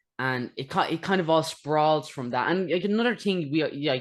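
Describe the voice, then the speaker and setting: The speaker has an Irish accent and lively intonation at a fairly quick pace. The background is quiet. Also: man. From Ireland. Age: young. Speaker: interviewer. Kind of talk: interview. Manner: fast.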